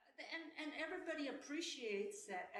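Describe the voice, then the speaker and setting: A woman speaks with very wide pitch swings, and audible room echo surrounds her voice. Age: 70s. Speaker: senior dancer. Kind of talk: interview.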